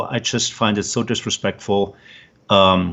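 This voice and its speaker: A man speaks with a German accent. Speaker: former researcher and military veteran. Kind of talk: interview. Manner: halting, many fillers.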